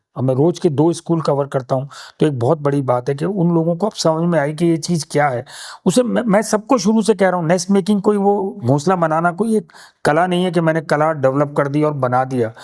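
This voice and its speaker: Lively intonation marks a normal speaking voice at a moderate pace. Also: man, fairly high pitch for a man. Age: 60s. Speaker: conservationist and nest maker, former filmmaker. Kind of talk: interview conversation.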